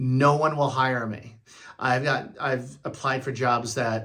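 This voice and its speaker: Audible room echo surrounds a man's bright, sharp tone. He speaks at a fairly slow pace. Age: 60s. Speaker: retired vlogger. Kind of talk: casual vlog monologue. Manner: halting, many fillers.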